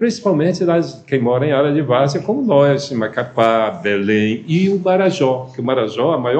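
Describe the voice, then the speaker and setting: Amid audible room echo, a man with a fairly high pitch speaks at a moderate pace with lively intonation. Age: 70s. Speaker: former politician. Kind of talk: TV interview. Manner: halting.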